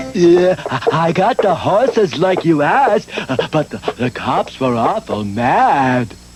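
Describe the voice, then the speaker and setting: A cartoonish character voice at a middle pitch swings very widely in pitch, moving at a fairly slow pace over clear background noise. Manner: slow, halting, full of uh.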